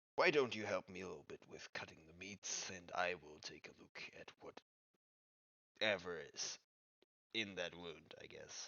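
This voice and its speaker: Using a put-on character voice, a man speaks at a moderate pace in a fairly low pitch, with long, frequent pauses. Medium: actual play. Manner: blunt, deadpan.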